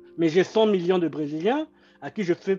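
This man has a high-pitched voice with a dark, mellow tone. He talks at a moderate pace. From Republic of the Congo, Brazzaville. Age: 30s. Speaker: political activist, former presidential candidate. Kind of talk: interview.

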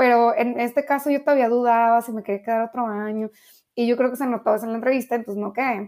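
On a very clean recording with a silent background, a woman talks very fast at a fairly high pitch with monotone, flat intonation. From Mexico, Ensenada, Baja California. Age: young. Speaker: international affairs professional. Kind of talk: interview.

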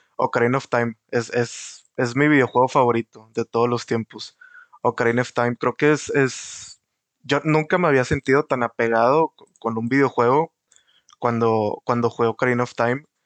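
A man's medium-pitched voice with a Mexican accent, fairly even intonation and a moderate pace, in a dry, close sound with no echo. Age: 20s. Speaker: podcast host. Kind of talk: casual chat.

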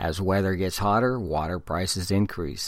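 The very clean recording, with a silent background, captures a man with a fairly low pitch. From California, San Diego. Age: 50s. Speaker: podcaster and blogger. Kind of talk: solo podcast commentary, partly reading articles aloud.

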